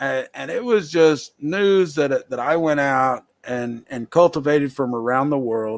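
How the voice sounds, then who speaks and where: A man with a Southern US accent talks at a moderate pace, his pitch varying in an ordinary way. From US South. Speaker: talk show host. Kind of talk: casual live show talk. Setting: live video stream.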